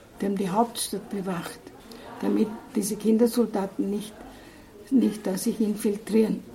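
A woman's fairly high, monotone, flat voice at a moderate pace, with long, frequent pauses and noticeable background noise. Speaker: missionary nun. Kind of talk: interview. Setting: in-person interview.

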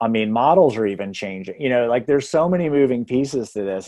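Here a man with an ordinary speaking voice talks at medium pitch with ordinary pitch variation. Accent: American. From Texas. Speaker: real estate hiring consultant. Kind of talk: podcast interview.

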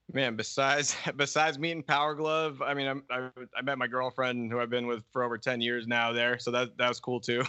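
With an American accent, a man with an unremarkable speaking voice talks at a medium pitch, fairly quickly and with hardly any pauses, his intonation fairly even. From Boston. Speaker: metal guitarist. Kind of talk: casual interview chat.

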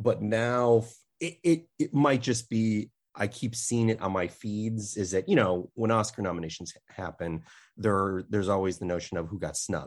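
A man with an unremarkable speaking voice and an American accent, fairly low in pitch, at a moderate pace with ordinary pitch variation. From US Midwest, Chicago. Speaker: film critic. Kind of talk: casual chat.

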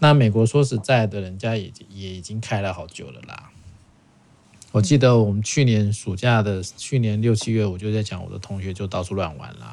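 An unremarkable speaking voice from a man, fairly low in pitch at a moderate pace, with ordinary pitch variation and big swings in loudness. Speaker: podcast host. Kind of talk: casual chat.

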